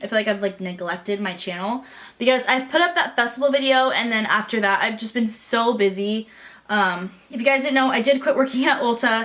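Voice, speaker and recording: Speech comes at a fairly quick pace with ordinary pitch variation. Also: woman, fairly high pitch for a woman. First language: not English. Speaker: beauty vlogger. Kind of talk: makeup tutorial. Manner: casual, chatty.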